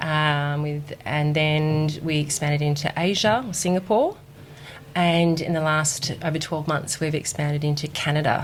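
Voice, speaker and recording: With an Australian accent, a woman speaks at a very deep, low pitch, her intonation fairly even and her loudness very even. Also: moderate pace. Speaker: recruitment executive at a clinic chain. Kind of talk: podcast interview.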